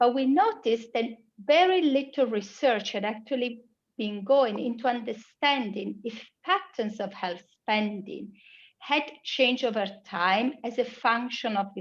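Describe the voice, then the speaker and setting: A fairly high-pitched woman with an Italian accent, fairly slow pace and lively intonation. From Italy. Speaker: global health researcher. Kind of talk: conference presentation.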